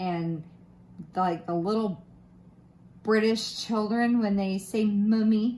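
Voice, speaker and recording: A woman with a slight Southern US accent speaks very slowly, somewhat breathy, at a fairly high pitch. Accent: slight Southern American twang. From Florida, US South. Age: 30s. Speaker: craft youtuber. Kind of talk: casual chat. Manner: casual, with many fillers and restarts.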